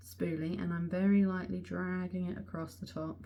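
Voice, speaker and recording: A woman speaks with an English accent. Audible room echo surrounds her voice. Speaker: beauty vlogger. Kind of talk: casual chat. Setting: close to the camera. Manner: animated; soft-spoken.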